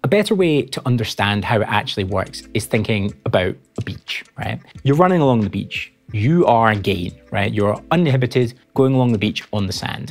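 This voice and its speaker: A man talks at a fairly quick pace while faint music can be heard behind him. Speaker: audio engineer educator. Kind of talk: tutorial. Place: studio. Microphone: lapel.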